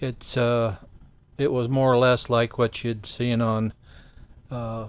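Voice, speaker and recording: A man speaks at a very slow pace and a medium pitch. His intonation is monotone and flat. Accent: Midwestern American. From Ohio, US Midwest. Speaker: host's father, guest. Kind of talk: interview storytelling.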